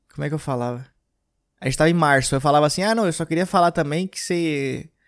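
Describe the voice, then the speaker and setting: In a very clean recording with a silent background, a man uses an ordinary speaking voice, fairly high in pitch with ordinary pitch variation. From Rio Grande do Sul, Brazil (Gramado). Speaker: stand-up comedian and podcast host. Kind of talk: casual monologue.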